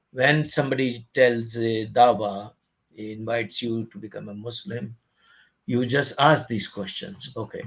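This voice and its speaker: A somewhat breathy man at medium pitch and a moderate pace. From India. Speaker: online religious commentator. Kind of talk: video commentary reading articles aloud. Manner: halting, with repetitions.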